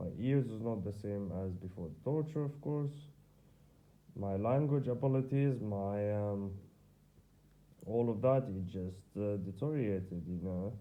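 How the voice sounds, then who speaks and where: A man with an Arabic accent and a fairly low pitch, long frequent pauses, and audible room echo. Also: ordinary pitch variation, fairly slow pace. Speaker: vlogger. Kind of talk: personal video diary. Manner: halting.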